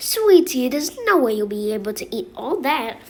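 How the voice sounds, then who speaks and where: A woman's put-on character voice, high in pitch, at a moderate pace with very wide pitch swings. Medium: read story. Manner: casual, chummy, calls customers honey and sweetie.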